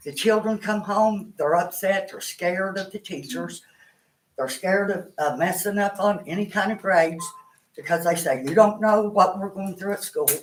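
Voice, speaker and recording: Someone talks at a moderate pace in an Appalachian accent. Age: 60s. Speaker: grandparent speaking at public comment. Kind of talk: public comment at board meeting.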